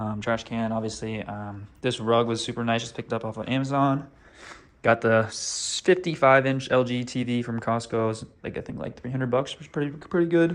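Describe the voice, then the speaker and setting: Speaking at a fairly quick pace with ordinary pitch variation, a man with an American accent has a plain, everyday voice. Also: medium pitch for a man. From US Pacific Northwest, Seattle. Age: 20s. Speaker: vlogger. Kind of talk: casual vlog apartment tour. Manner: casual, many filler 'um's.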